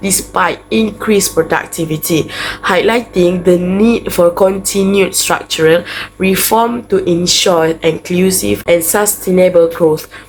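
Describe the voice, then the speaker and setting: A woman talks at a fairly slow pace in a fairly low voice with ordinary pitch variation. Noticeable background noise sits behind her. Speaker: university student. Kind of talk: class presentation.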